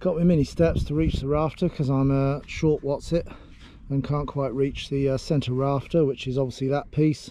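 A man's voice at a moderate pace, with fairly even intonation and a dry sound free of echo. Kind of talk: tutorial. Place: open country. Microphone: phone near.

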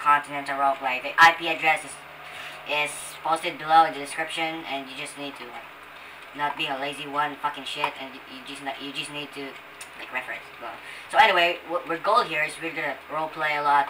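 Noticeable background noise sits behind a speaker with a Filipino accent who talks at a fairly quick pace. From Philippines. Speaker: gaming YouTuber. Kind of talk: gameplay commentary. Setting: poor-quality microphone. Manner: casual, profane.

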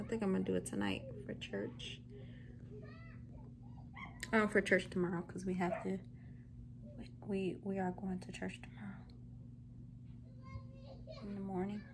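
With long, frequent pauses, a woman speaks at a fairly slow pace and medium pitch, with ordinary pitch variation.

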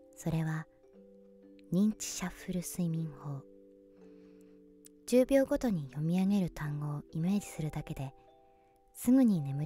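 Over music in the background, a woman whispers in a soothing tone at a moderate pace, with long, frequent pauses and big swings in loudness. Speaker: voice actor. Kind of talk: sleep induction narration. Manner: whispered, soothing.

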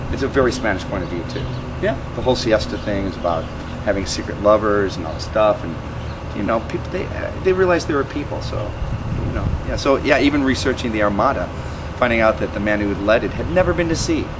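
Very fast speech in an American accent with noticeable background noise. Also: man. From US Midwest, northern Illinois. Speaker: renaissance festival performer. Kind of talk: interview. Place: street.

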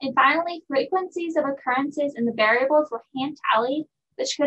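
A woman's high pitch, ordinary pitch variation, fairly quick pace. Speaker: presenter. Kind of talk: research presentation. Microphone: webcam.

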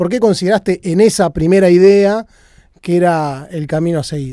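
In a Rioplatense accent, a man speaks with a high pitch, ordinary pitch variation and a dark, mellow tone. The sound is dry with no echo, over a quiet background. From Argentina. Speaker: music channel host, interviewer. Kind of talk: interview. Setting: guest's studio. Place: studio. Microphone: handheld.

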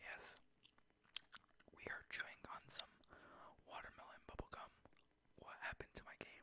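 Someone whispers at a fairly slow pace. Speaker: gaming ASMR creator. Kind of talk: ASMR gaming commentary. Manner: whispered. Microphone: studio mic.

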